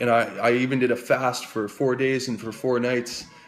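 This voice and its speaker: A man's medium-pitched voice with a Canadian accent at a fairly quick pace, over noticeable background noise. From Canada, New Brunswick (Fredericton). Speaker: recovery advocate. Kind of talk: personal testimony. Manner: halting, many repetitions.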